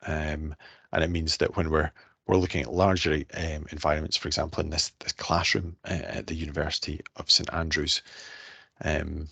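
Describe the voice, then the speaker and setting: In a Scottish accent, a man with a very deep, low pitch and a bright, sharp tone talks at a moderate pace in monotone, flat intonation against a quiet background. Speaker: researcher. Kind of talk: scientific presentation.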